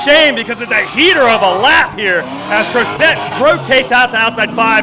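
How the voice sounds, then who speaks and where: Over noticeable background noise, a man talks at a fairly quick pace in a raised, projected voice of extremely high pitch. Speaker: drifting commentator. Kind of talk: live commentary. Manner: animated; fast.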